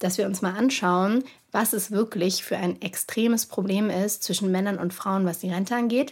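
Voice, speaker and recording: A woman speaks with fairly even intonation and a somewhat breathy quality. The recording is very clean, with a silent background. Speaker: social entrepreneur. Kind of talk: casual interview chat.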